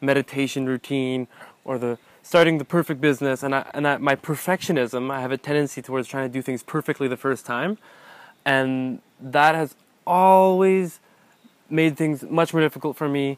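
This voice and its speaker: With ordinary pitch variation, a man speaks at a moderate pace in a dry sound with no echo. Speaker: interviewee or co-host. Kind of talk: conversational interview answer. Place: open country. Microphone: lapel.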